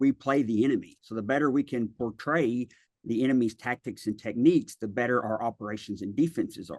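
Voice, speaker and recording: With a Tennessee accent, a man talks at a medium pitch with ordinary pitch variation. The sound is dry and close with no echo, against a quiet background. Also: fairly quick pace. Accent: Southern US (Tennessee). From West Tennessee, near Memphis. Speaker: cybersecurity consultant, army veteran. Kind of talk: interview. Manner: hesitant, many fillers.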